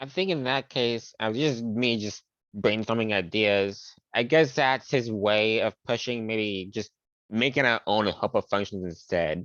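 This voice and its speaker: Mumbling at a fairly slow pace, a man keeps a medium pitch with ordinary pitch variation. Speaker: student. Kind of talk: casual chat.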